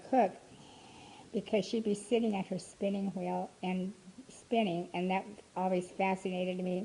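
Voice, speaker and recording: Moderate pace and fairly even intonation in a somewhat breathy voice. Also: woman. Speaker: grandmother telling her life story. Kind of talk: personal reminiscence interview. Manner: talkative, chatty.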